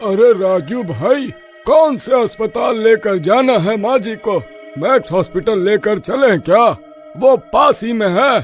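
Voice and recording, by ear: A man puts on a cartoonish character voice, high-pitched with lively intonation. He goes at a fairly slow pace while clear music plays in the background.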